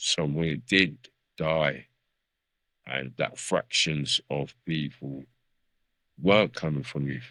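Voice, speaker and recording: Very deep and low with vocal fry, a man's voice moves at a very slow pace with ordinary pitch variation and long, frequent pauses. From South London. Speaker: veteran MC. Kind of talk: podcast interview.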